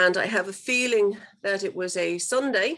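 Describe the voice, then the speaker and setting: The recording is very clean and the background silent. In it, a woman talks in an Irish accent. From Ireland. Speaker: guest speaker, abuse survivor. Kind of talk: talk to students, personal testimony. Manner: halting, many fillers.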